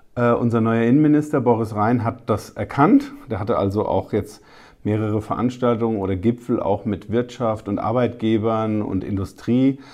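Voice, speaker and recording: In an ordinary speaking voice, a man talks at a moderate pace. His pitch is medium and his intonation stays fairly even. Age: 40s. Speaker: newspaper reporter. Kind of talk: casual interview.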